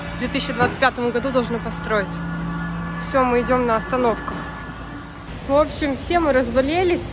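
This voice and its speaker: Music plays in the background as a woman talks at a high pitch with ordinary pitch variation. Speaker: mother vlogger. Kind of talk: casual vlog chat. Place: street. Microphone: phone near.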